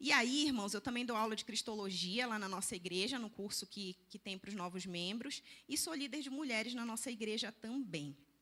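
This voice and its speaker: A woman talks at a moderate pace with hardly any pauses. Her fairly high voice carries lively intonation. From Belém do Pará, northern Brazil. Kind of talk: church lecture.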